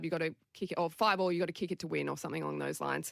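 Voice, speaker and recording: Recorded with a dry, close sound, no echo and a very clean, silent background, a woman speaks at a fairly low pitch with an Australian accent. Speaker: Olympic rugby sevens player. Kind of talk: interview.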